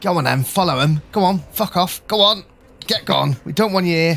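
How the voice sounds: Gruff and put-on, this character voice sits at a middle pitch and moves at a moderate pace.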